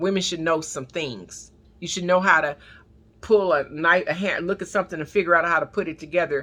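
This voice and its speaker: A bright, sharp tone carries a Southern US accent with ordinary pitch variation. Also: woman. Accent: Southern drawl. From US, not the South (city-raised). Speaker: prayer line preacher. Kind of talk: sermon. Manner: halting, repetitive.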